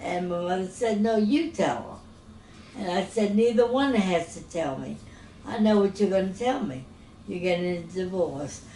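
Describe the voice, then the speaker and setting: A woman speaks at medium pitch and a moderate pace, her intonation lively, with long, frequent pauses. Audible room echo surrounds her voice. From New Orleans, Louisiana. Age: 80s+. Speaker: retired teacher. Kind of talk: interview.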